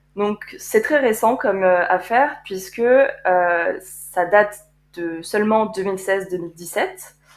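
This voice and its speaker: Recorded very cleanly over a silent background, a woman speaks at a fairly slow pace in a medium pitch. She has a plain, everyday voice with ordinary pitch variation. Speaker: podcast co-host, art conservator-restorer. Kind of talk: casual chat.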